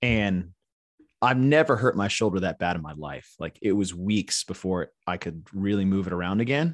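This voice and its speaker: A man with an unremarkable speaking voice and an American accent, at a moderate pace with ordinary pitch variation, in a dry, close sound with no echo. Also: quiet background. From Texas. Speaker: sports event commentator and gym owner. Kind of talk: casual interview chat.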